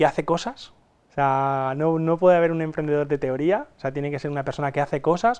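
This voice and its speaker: A man races along at a very fast pace with a quiet background behind him. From Spain, Alicante interior (Castalla). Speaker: entrepreneur and usability expert. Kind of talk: interview. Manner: halting, many repetitions.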